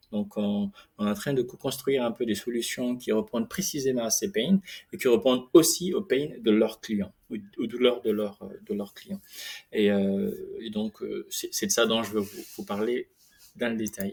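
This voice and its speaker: Speaking at a fairly slow pace, the man has a medium pitch and lively intonation. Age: 30s. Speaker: startup founder. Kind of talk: product pitch. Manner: hesitant, many fillers.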